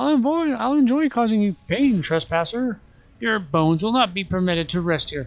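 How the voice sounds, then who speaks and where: A man puts on a character voice. It is high-pitched and moves at a moderate pace. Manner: menacing, gloating.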